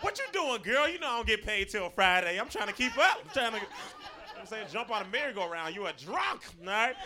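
A man with an American accent speaks at a high pitch in a raised, projected voice. His pace is fairly quick and his intonation lively, with noticeable background noise. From Florida. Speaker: stand-up comedian. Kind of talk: stand-up. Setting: stage with audience.

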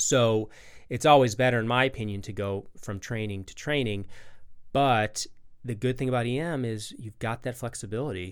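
A man with an ordinary speaking voice talks at a moderate pace, medium in pitch with ordinary pitch variation. His loudness swings widely, and the recording is very clean with a silent background. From Chicago, US Midwest. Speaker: emergency and critical care physician. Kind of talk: interview.

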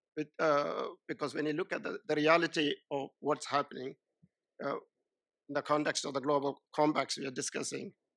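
Dry and close with no echo, a man's fairly high voice with vocal fry runs at a fairly quick pace in a monotone, flat intonation. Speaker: NGO leader and panelist. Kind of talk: panel discussion. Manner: halting.

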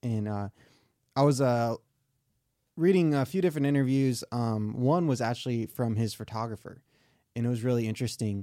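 Speaking with an American accent, a man uses a dark, mellow tone at medium pitch with ordinary pitch variation and long, frequent pauses, in a very clean recording with a silent background. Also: fairly quick pace, dry, close sound with no echo. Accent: slight southern US creeping in. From Michigan, US. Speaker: podcast co-host.

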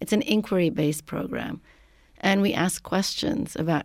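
A woman's voice with vocal fry on a very clean recording with a silent background. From Lebanon. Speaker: professor. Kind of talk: interview.

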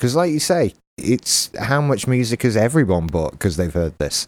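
The speaker has an English accent and very wide pitch swings at a moderate pace. The recording is very clean with a silent background. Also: man. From England. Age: 30s. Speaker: podcast host. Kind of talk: casual chat.

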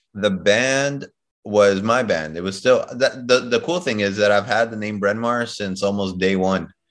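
A man with an American accent speaks at a moderate pace in a plain, everyday voice. His pitch sits fairly low and varies in an ordinary way. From Chicago. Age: 30s. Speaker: DJ and music producer. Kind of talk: interview.

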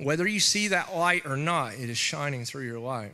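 A man with a fairly high pitch talks with ordinary pitch variation and a bright, sharp tone. Audible room echo surrounds his voice. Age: 40s. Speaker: preacher. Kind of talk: sermon. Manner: halting.

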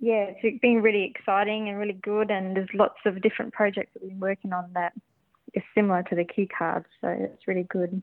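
At a fairly quick pace, a woman speaks with medium pitch in a monotone, flat intonation. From Australia (Dagoman, Northern Territory). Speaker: illustrator. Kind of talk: radio interview. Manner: hesitant, many fillers.

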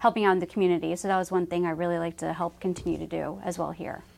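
This woman has a normal speaking voice, fairly low in pitch, with fairly even intonation. The recording is very clean, with a silent background. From Dallas, Texas. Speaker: family business communications manager. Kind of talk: casual interview.

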